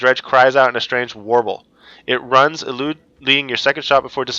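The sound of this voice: Reading in an unforced voice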